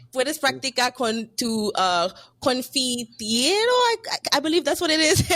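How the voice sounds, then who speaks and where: A woman with a high pitch talks at a moderate pace, her voice making very wide pitch swings over music in the background. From Miami, Haitian family. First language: French/Haitian Creole. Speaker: podcast host. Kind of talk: casual interview chat.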